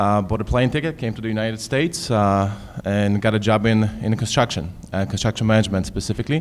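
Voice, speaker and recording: A man with a Polish accent, at a very fast pace, with ordinary pitch variation. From Poland. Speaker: construction manager, panelist. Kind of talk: self-introduction on a panel. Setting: high school event with live audience.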